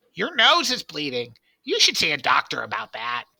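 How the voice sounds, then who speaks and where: In a dry, close recording with no echo, a man uses a put-on character voice pitched high for a man at a moderate pace. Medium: read story. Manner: relaxed, folksy.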